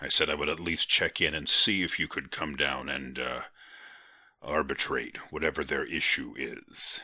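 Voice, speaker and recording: Putting on a raspy character voice, a man speaks with a very deep, low pitch at a moderate pace, on a very clean recording with a silent background. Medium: read story. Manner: gentle, amused, hesitant fillers.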